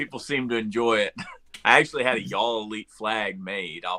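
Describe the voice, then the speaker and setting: At a moderate pace, a man speaks in a fairly low, bright and sharp voice with big swings in loudness, recorded with a dry, close sound and no echo. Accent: Southern. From US South, North Florida. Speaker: professional wrestler. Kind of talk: casual chat.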